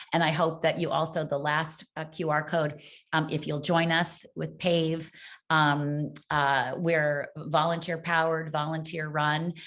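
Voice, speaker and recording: A woman speaks at a very deep, low pitch. Her intonation is monotone and flat. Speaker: parent advocacy group cofounder and webinar moderator. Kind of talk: webinar interview moderation. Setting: online video webinar. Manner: fast; halting, many fillers.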